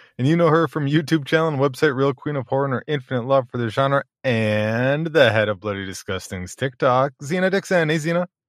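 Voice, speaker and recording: A man talks in a plain, everyday voice at a fairly high pitch, with ordinary pitch variation, a fairly quick pace and hardly any pauses. The sound is dry and close with no echo, over a quiet background. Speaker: podcast host.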